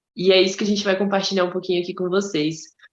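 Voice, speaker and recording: A woman talks at a medium pitch. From Brazil, Mato Grosso. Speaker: podcast co-host. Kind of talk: casual chat.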